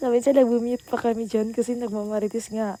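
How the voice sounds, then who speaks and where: This woman speaks at a fairly quick pace and a fairly high pitch. Her intonation is monotone and flat. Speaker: vlogger. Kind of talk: vlog voiceover narration. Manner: casual, chatty.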